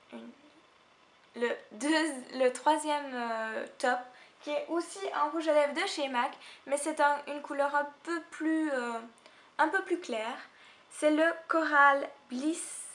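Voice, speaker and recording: Speaking at a very slow pace with long, frequent pauses, a woman uses a high voice with ordinary pitch variation. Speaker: beauty vlogger. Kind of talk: casual talk to camera.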